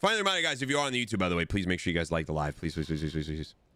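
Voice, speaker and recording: Loud, animated male voice, very deep and low in pitch, with a bright, sharp tone. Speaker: gaming streamer. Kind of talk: casual live-stream chat.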